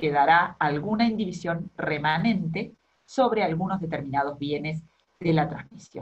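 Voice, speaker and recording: Somewhat breathy, a woman's fairly low-pitched voice moves at a fairly slow pace against a quiet background. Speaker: law lecturer. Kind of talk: lecture. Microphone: webcam.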